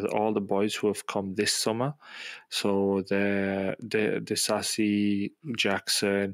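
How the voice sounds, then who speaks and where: A man talks very slowly in a flat monotone, his loudness very even. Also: fairly low pitch for a man, dry, close sound with no echo. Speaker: sports podcast co-host, Chelsea fan. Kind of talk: casual banter about football. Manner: casual, opinionated.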